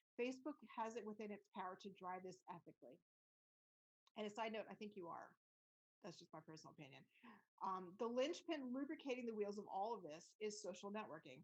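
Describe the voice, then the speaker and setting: A woman at medium pitch with very wide pitch swings, a fairly quick pace, and long, frequent pauses. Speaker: immersive tech consultant and podcaster. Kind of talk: presentation. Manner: fast.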